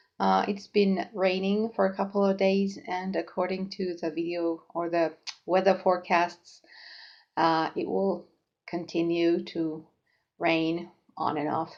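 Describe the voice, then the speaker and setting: A woman with a Finnish accent speaks very slowly at a fairly low pitch, her intonation monotone and flat. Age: 40s. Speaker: knitting podcaster. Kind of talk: casual vlog chat. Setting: home kitchen. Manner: halting, many fillers.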